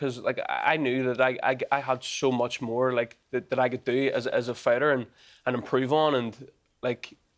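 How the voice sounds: A man speaks at a medium pitch and a moderate pace. His pitch shows little movement.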